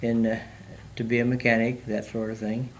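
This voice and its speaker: A speaker with an American accent talks at a fairly slow pace. Noticeable background noise and audible room echo fill the recording. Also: man. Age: 100+ (born 1922). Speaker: World War II veteran. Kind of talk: oral history interview. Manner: halting, many fillers.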